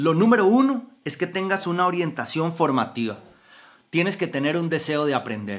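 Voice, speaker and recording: Speaking with a Costa Rican accent, a man uses a high pitch and very wide pitch swings at a moderate pace. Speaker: motivational podcaster. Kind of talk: motivational talk.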